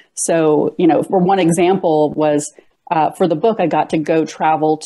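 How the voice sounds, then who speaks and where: With a quiet background behind her, a woman speaks at a fairly slow pace in a fairly low voice with a dark, mellow tone. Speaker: interviewee. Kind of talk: interview answer. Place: home room. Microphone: earbuds.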